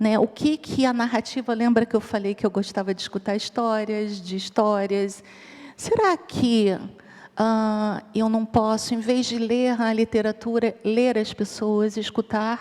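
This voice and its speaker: A woman with a Rio de Janeiro accent, fairly high in pitch, with a dark, mellow tone, a monotone, flat intonation and a very slow pace. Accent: Rio de Janeiro (carioca). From Rio de Janeiro, Brazil. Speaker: psychologist and researcher on ageing. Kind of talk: conference talk.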